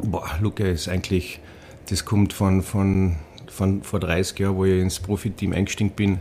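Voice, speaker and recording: In a strong Carinthian accent, a man speaks with a very deep, low pitch and a dark, mellow tone. His intonation is monotone and flat, his loudness very even, and his pace moderate. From Austria, Carinthia (Villach). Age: 40s. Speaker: ice hockey coach, former player. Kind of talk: casual interview. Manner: hesitant, many repetitions.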